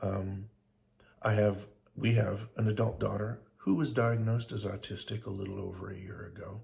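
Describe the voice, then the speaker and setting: Somewhat breathy, a man speaks in a flat monotone. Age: 60s. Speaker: vlogger. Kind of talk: casual monologue. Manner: halting.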